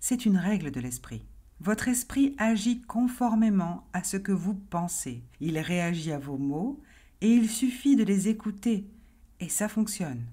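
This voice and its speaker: A dark, mellow, somewhat breathy voice at a very slow pace, with very wide pitch swings. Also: woman, medium pitch for a woman. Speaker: hypnotherapist and life coach. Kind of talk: explanatory pitch to the listener about hypnosis.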